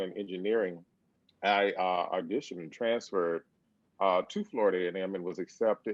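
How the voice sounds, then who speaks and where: At a moderate pace, a man speaks with an Alabama accent. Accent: Southern US (Alabama). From US South, Birmingham, Alabama. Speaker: percussion professor. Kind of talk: interview.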